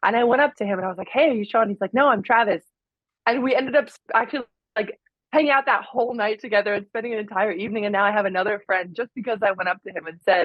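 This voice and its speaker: Talking at a very fast pace, a woman uses a fairly high pitch with ordinary pitch variation. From England, raised in Miami, Florida. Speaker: former pro volleyball player and content creator. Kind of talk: casual interview chat. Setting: podcast.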